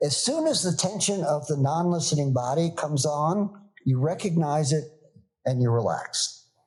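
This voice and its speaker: Speaking at a fairly slow pace, a man with a fairly high pitch sounds somewhat breathy and shows ordinary pitch variation. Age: 70s. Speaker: organizational consultant and yoga teacher. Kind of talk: podcast interview.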